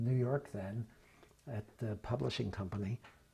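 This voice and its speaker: With an American accent, a man talks at a moderate pace in a dark, mellow, somewhat breathy tone with ordinary pitch variation. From Philadelphia. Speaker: former state legislator. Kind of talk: oral history interview answer. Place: office. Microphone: lapel.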